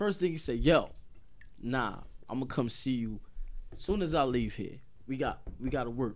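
Normal pitch movement marks a man's speech, with room echo clearly audible. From Paterson, New Jersey. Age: 30s. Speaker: rapper. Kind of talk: casual chat. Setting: studio.

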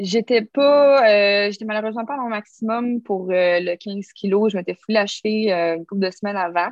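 The speaker talks at a fairly slow pace with a Quebec accent. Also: woman. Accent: Québécois French. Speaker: stuntwoman and obstacle course racer. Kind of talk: casual interview.

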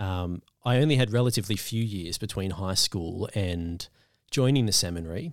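A man speaks at a moderate pace in a normal speaking voice, his pitch fairly low with ordinary variation. The recording is very clean, with a silent background. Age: 20s. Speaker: deacon. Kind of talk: casual interview.

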